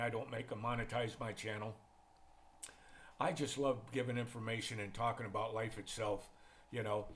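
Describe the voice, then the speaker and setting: A man with an American accent, medium pitch and a somewhat breathy voice, at a fairly quick pace. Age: 70s. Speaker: retired expat vlogger. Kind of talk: casual monologue vlog. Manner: relaxed, conversational.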